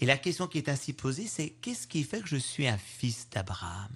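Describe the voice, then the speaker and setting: A man with a normal speaking voice, moderate pace and lively intonation against a quiet background. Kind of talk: homily, a spoken Gospel commentary, reflective and pastoral. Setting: radio studio interview. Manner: earnest, measured, explanatory, warm.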